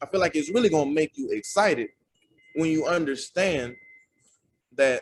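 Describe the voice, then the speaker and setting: Speaking at a moderate pace with long, frequent pauses, a man uses a fairly high pitch. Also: lively intonation. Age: 20s. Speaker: preacher. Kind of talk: sermon. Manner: casual, conversational.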